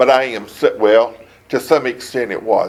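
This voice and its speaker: A man with a coastal Georgia accent at a fairly slow pace, over noticeable background noise. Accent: Southern US (coastal Georgia). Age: 70s. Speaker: city council member being interviewed by investigators. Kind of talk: investigative interview. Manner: halting, with fillers and restarts.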